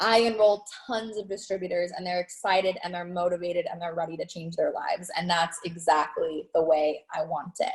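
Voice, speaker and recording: Energetic and enthusiastic, a woman with a fairly low pitch talks with hardly any pauses and big swings in loudness over noticeable background noise. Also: fairly quick pace. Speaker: network marketing team leader. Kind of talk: live training webinar. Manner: energetic, enthusiastic.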